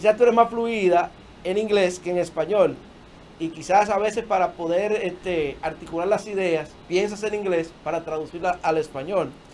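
A high-pitched man at a moderate pace, with ordinary pitch variation and light background noise. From Dominican Republic. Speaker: talk show host. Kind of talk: casual interview chat. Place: studio.

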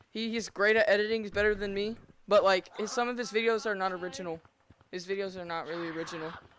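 Talking very fast in an animated tone, a woman swings widely in loudness over light background noise, with a dry sound and no echo. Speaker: gaming streamer. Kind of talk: live gameplay stream chat. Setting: home VR setup, live stream. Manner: fast talker. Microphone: headset.

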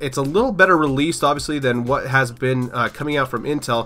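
Music plays in the background as a man talks at a fairly quick pace. His pitch is medium, with ordinary variation. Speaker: PC tech YouTuber. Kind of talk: casual tech news talk.

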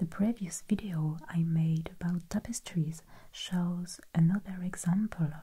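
Soft-spoken and very slow, the voice comes over light background noise. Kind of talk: educational narration. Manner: quiet, soft-spoken ASMR narration.

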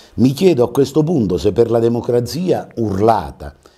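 A man with a dark, mellow tone and vocal fry speaks at a moderate pace with very wide pitch swings against a quiet background. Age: 60s. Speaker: TV talk show host. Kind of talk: TV interview. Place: studio. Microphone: lapel.

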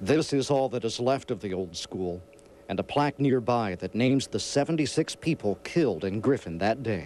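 Using a plain, everyday voice, a man speaks at a moderate pace and a medium pitch with lively intonation. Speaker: TV meteorologist. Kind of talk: TV news feature narration.

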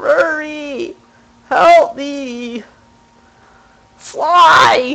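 The voice is high-pitched. It is a put-on character voice. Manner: panicked, pleading.

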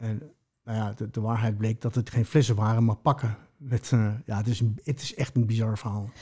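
With a Spanish accent, a man talks at a moderate pace in a medium pitch, his dark, mellow tone somewhat breathy, his intonation fairly even, and the background quiet. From Mexico and Colombia, later Netherlands. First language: Spanish (speaking Dutch). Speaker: former prisoner, musician; interview guest. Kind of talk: personal testimony interview. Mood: calm, reflective storytelling. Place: home room. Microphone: studio mic.

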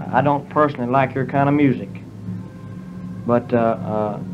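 A man's voice with ordinary pitch variation and music in the background. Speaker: interviewee. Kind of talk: interview answer. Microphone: old recording.

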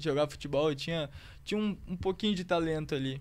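The speaker is a man. His pitch varies an ordinary amount. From Rio Grande do Sul, Brazil (Santo Antônio da Patrulha); Rio Grande do Sul, Brazil. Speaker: footballer; guest. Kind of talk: casual chat. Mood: relaxed, warm storytelling. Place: studio. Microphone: studio mic.

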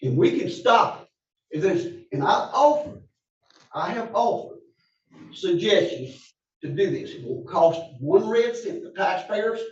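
A man with an Alabama accent, high-pitched and fairly slow, with very wide pitch swings, big swings in loudness, long, frequent pauses and audible room echo. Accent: Southern US (Alabama). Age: 70s. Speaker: public commenter at county meeting. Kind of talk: public comment. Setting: county commission meeting.

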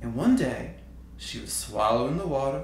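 Man speaking, moderate pace, audible room echo, light background noise. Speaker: storyteller. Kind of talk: spoken story monologue. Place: studio.

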